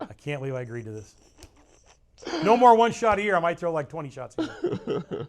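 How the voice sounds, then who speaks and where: With noticeable background noise behind him, a man talks at a very fast pace in a high pitch, using very wide pitch swings, big swings in loudness, and long, frequent pauses. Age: 60s. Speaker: bowling coach and former pro bowler. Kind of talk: casual chat.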